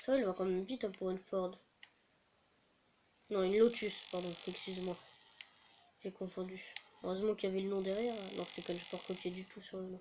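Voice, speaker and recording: Soft-spoken and high-pitched, a man talks at a very fast pace in a monotone, flat intonation, with long, frequent pauses. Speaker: gaming youtuber. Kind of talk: gameplay commentary.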